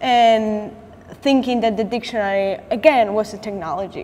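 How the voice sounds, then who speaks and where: A woman speaks with a Latin American accent and fairly high pitch. Her pitch variation is ordinary, with noticeable background noise. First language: Spanish. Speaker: artist. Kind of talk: artist talk with slides. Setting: gallery talk with audience. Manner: halting, with restarts and fillers.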